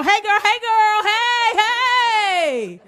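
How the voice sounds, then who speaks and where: Her pitch swinging very widely, a woman talks in an animated way against noticeable background noise. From New York. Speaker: stand-up comedian. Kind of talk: stand-up.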